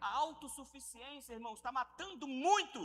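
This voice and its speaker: Over music in the background, a man with an extremely high pitch uses a raised, projected voice and lively intonation at a fairly slow pace. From Rio de Janeiro, Brazil. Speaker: pastor. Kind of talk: sermon. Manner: animated.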